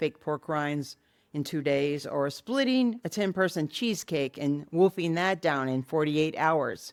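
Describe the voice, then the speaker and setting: A woman with a very deep, low pitch speaks at a moderate pace with lively intonation, on a very clean recording with a silent background. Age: 60s. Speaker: lifestyle vlogger. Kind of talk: vlog monologue.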